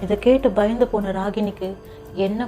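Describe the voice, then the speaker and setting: A woman keeps her intonation fairly even, with music playing in the background. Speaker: story narrator. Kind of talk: horror story narration.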